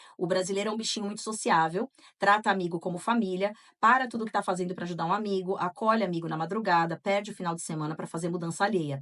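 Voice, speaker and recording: Her pitch medium and its variation ordinary, a woman speaks at a very fast pace. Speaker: podcast co-host. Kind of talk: casual podcast chat with read-out listener accounts.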